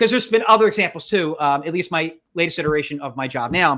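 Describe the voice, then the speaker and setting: Loud and fairly quick, the voice has a bright, sharp tone on a very clean recording with a silent background. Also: man. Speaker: podcast co-host. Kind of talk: casual chat. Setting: livestream. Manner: loud, hyper; halting, many restarts.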